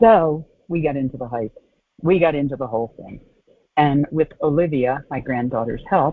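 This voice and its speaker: A woman's very deep, low voice with lively intonation, a moderate pace and big swings in loudness. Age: 60s. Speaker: podcast host. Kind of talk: casual monologue.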